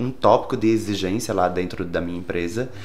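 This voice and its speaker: Audible room echo surrounds a man as he speaks. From Brazil, Rio Grande do Norte interior (Caicó). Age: 30s. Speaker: hairdresser and salon owner. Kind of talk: interview.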